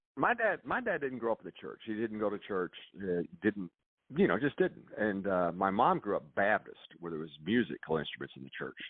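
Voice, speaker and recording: A man speaks in a Kentucky accent at a fairly quick pace. His pitch is fairly low and his intonation lively. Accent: US South, Kentucky. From Kentucky, Louisville. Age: 60s. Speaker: music producer. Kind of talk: casual chat. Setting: radio show.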